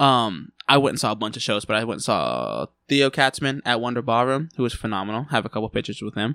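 On a very clean recording with a silent background, a man talks at a fairly quick pace in a medium pitch, his tone bright and sharp and his pitch variation ordinary. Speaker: musician. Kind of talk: casual chat. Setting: studio.

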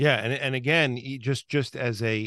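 At a moderate pace, a man with an American accent talks in a bright, sharp tone with fairly even intonation, in a dry, close sound with no echo and a quiet background. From New York, Long Island. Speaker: podcast host. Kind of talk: casual interview chat. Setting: video call.

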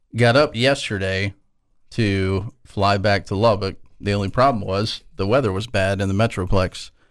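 This man has a plain, everyday voice, fairly low in pitch with fairly even intonation, speaking at a moderate pace in a very clean recording with a silent background. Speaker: radio co-host. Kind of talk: casual sports-radio banter. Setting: radio studio. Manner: relaxed, bantering.

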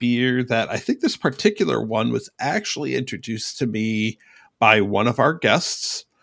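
A man with an unremarkable speaking voice talks at a fairly slow pace and medium pitch. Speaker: trivia host. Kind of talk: trivia game hosting.

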